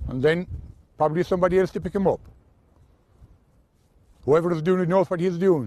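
Speaking very fast yet with long, frequent pauses, a man with a strong Kerry accent has a high pitch and a dark, mellow tone in a dry sound with no echo. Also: fairly even intonation. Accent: strong rural Kerry Irish. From County Kerry, Ireland. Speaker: sheep farmer. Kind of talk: TV news interview answer. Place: open country. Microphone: lapel.

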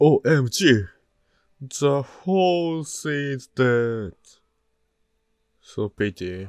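A man with a Japanese accent speaks very slowly with long, frequent pauses and very wide pitch swings, the sound dry and close with no echo. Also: fairly high pitch for a man. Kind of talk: casual gameplay commentary.

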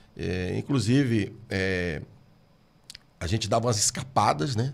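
A man talks at a fairly slow pace, his fairly low voice moving with ordinary pitch variation. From Brazil. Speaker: pastor. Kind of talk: interview. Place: studio. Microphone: studio mic.

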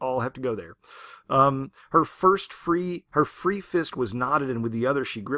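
With lively intonation, the text is read aloud in a natural voice.

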